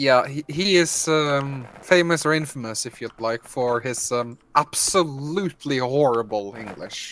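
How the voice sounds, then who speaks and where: With a Norwegian accent, a man speaks at a fairly high pitch with hardly any pauses. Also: ordinary pitch variation, fairly slow pace, big swings in loudness. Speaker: gaming streamer. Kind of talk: casual chat.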